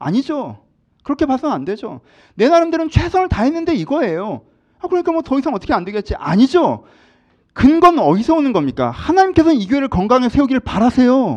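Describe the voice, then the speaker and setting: With very wide pitch swings, a man talks at a very fast pace in an extremely high pitch. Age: 40s. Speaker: pastor. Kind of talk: sermon.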